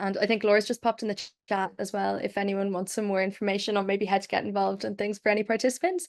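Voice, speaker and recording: A woman with an Irish accent talks at a very fast pace and medium pitch, with hardly any pauses and monotone, flat intonation, over a quiet background. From Ireland. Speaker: webinar moderator. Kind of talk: panel moderation.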